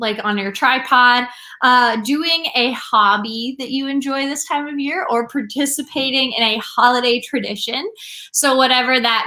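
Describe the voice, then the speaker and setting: A woman's voice has a bright, sharp tone and ordinary pitch variation. She speaks at a fairly slow pace. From US South, southeast. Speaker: brand strategist. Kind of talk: live-stream tutorial. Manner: casual, lots of fillers.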